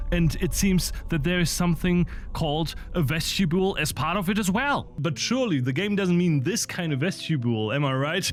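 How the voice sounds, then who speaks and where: A man's high-pitched voice, fairly quick and lively in intonation, with very even loudness and music in the background. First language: not English. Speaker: gaming video essayist. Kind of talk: video essay narration with gameplay commentary.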